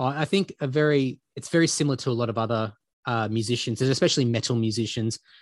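Speaking at a very fast pace with an Australian accent, a man uses a medium pitch and ordinary pitch variation against a quiet background. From Queensland, Australia. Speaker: heavy metal bassist and podcaster. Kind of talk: casual interview.

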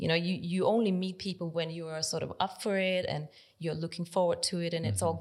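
A woman with a Danish accent, fairly low in pitch, at a fairly quick pace with fairly even intonation, in a very clean recording with a silent background. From Denmark, countryside. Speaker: nonprofit library director. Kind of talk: interview.

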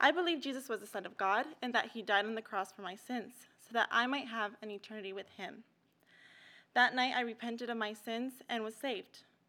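A woman talks at a fairly quick pace with a fairly high pitch and a bright, sharp tone, her loudness swinging widely. Her pitch varies in an ordinary way, in a very clean recording with a silent background. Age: young. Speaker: bible school student. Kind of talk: testimony. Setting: church.

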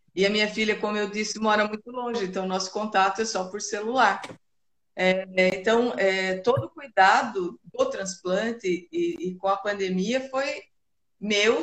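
A woman with an unremarkable speaking voice talks at a fairly slow pace, her fairly high pitch showing ordinary variation. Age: 50s. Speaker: kidney transplant patient and volunteer. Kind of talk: casual interview on a live stream. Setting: live video stream.

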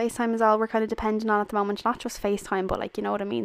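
A woman's medium-pitched voice in an Irish accent. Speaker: podcast host. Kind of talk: casual monologue. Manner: animated.

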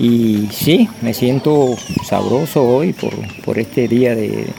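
Noticeable background noise behind a man's ordinary pitch variation at a medium pitch. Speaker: coffee farmer, cooperative founder. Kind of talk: recorded testimony. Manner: halting.

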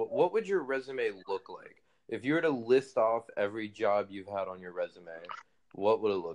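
A man with a normal speaking voice talks at medium pitch with lively intonation and an American accent. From United States. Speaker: guest in interview. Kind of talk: casual chat. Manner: casual, profane, laughing.

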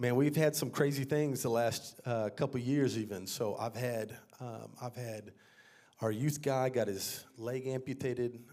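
Audible room echo surrounds a man with an American accent talking at a fairly slow pace, with medium pitch and ordinary pitch variation. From Texas, San Antonio. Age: 30s. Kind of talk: testimony. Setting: church. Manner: animated.

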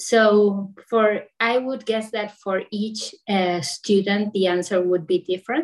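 A woman with a Spanish accent speaks at a very slow pace and medium pitch, with ordinary pitch variation and hardly any pauses. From Argentina. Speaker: yoga teacher. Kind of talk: online panel discussion. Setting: video call.

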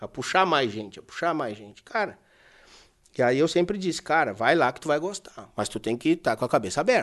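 Speaking at a fairly quick clip over a quiet background, a man with a fairly high pitch swings his pitch very widely and his loudness a great deal. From Brazil, Porto Alegre (Rio Grande do Sul). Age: 30s. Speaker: horse trainer. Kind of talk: casual chat.

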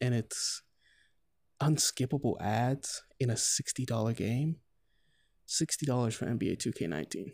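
Dry and close with no echo, a man's voice sits at medium pitch with ordinary pitch variation, moving at a moderate pace broken by long, frequent pauses. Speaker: podcast host and gaming reviewer. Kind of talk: angry rant about a game's unskippable ads and microtransactions, casual and heated. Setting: solo podcast recording. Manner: exasperated, indignant, emphatic, repeating 'man' and sighing in disgust.

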